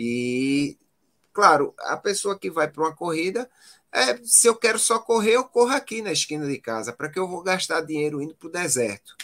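A man speaks at a moderate pace in a high pitch with very wide pitch swings and a bright, sharp tone. The sound is dry and close, with no echo. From Pernambuco, Brazil. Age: 40s. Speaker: physician and marathon runner. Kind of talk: casual interview.

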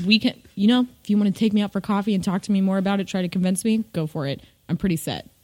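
A woman with an American accent, medium pitch and a somewhat breathy voice, talking at a very fast pace with fairly even intonation, in a very clean, dry, close recording with a silent background and no echo. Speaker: podcast co-host and visual artist. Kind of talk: casual chat.

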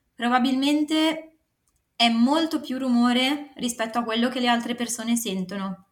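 Here a woman talks at a moderate pace in a high voice. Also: ordinary pitch variation. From northern Italy, Varese. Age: 20s. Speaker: writer and consultant. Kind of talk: interview.

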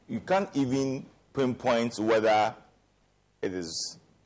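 A man speaks at a very slow pace. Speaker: member of parliament. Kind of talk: panel discussion.

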